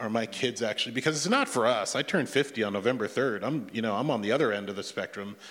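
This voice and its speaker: A man speaks at a medium pitch with an American accent. The recording is very clean, the background silent. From Japan and Iowa, US (military family). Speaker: church member, tech worker. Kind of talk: testimony. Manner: halting, many fillers.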